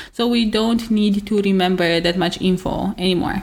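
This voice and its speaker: A woman with an unremarkable speaking voice, medium in pitch, at a moderate pace with ordinary pitch variation. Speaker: podcast host. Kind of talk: casual chat.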